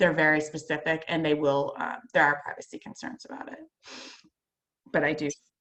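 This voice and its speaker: A woman with a very deep, low pitch speaks at a fairly quick pace with fairly even intonation, big swings in loudness, and long, frequent pauses. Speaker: marketing presenter. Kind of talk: presentation on video call. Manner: fast; hesitant with many fillers.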